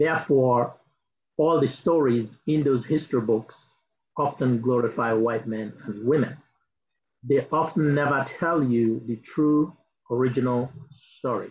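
A man speaks at a fairly slow pace with ordinary pitch variation. His voice is somewhat breathy, over light background noise. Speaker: diaspora advocacy director; speaker. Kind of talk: speech. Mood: earnest, advocating. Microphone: video call.

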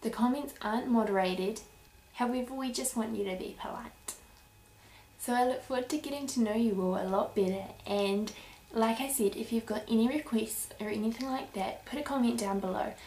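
With a New Zealand accent, a woman talks at a fairly quick pace with ordinary pitch variation. Audible room echo and light background noise are present. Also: fairly high pitch for a woman. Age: 20s. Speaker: YouTuber, breastfeeding mother; YouTuber. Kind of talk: vlog introduction. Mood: warm, earnest. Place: home room. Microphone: webcam.

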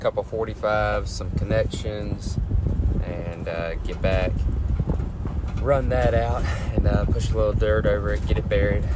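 Loud background noise fills the recording. Through it a man talks at a fairly slow pace. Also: dry sound with no echo. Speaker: construction worker vlogger. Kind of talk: casual vlog chat. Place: car. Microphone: phone near.

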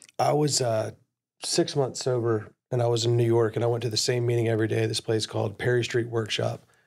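With vocal fry and little pitch movement, a man talks at a fairly quick pace in a slightly mellow tone. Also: medium pitch for a man.

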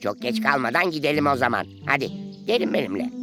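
A man performs a cartoonish character voice at a fairly high pitch and fairly quick pace, with clear music in the background. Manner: hesitant, stammering.

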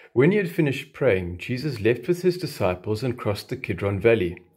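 A somewhat breathy man at a moderate pace against a quiet background. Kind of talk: scripture reading. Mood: solemn, calm. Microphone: phone near.

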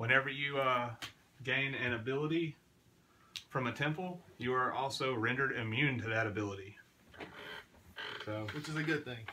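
A man talks at a moderate pace with ordinary pitch variation and long, frequent pauses over light background noise. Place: home room. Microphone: camera far.

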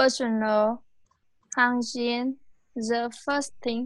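A woman's high voice in monotone, flat intonation against a quiet background. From Vietnam. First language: Vietnamese. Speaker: English student. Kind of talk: oral English test. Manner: halting.

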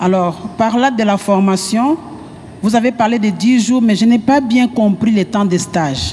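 This is a woman's voice with ordinary pitch variation. Her loudness stays very even. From DR Congo. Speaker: training coordinator, audience member. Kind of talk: audience question. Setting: conference hall with audience. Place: hall. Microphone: handheld.

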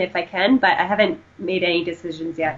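At a fairly quick pace, a woman with a Canadian accent talks in an ordinary speaking voice at a medium pitch. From Canada. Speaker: powerlifting and running coach. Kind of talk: casual interview.

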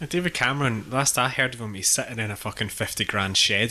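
A man with a Scottish accent, fairly quick and with ordinary pitch variation, against noticeable background noise. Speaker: podcast panelist. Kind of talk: casual chat.

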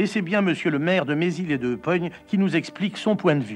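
Music plays in the background as a man talks at a moderate pace. His pitch is high, with ordinary variation. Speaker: television presenter and comedian. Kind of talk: mock news voice-over commentary.

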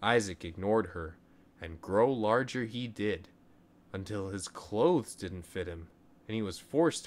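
With ordinary pitch variation, the passage is given plain reading aloud.

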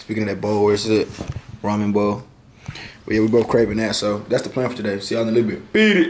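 Over light background noise, a man with a fairly low pitch talks very fast in a monotone, flat way. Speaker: vlogger. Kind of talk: casual vlog chat. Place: home room. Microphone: phone near.

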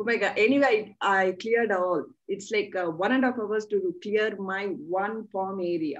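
Moderate pace and ordinary pitch variation in an Indian accent, against a quiet background. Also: woman. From South India. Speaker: channel host and practitioner; interviewer. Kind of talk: interview. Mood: animated, eager. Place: home room. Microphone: video call.

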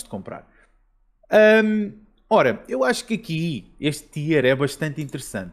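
A man with a Lisbon accent talks at a moderate pace with vocal fry. His pitch swings very widely. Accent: Lisbon area Portuguese. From Portugal, Almada. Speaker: video game podcast host. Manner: halting, hesitant with filler words.

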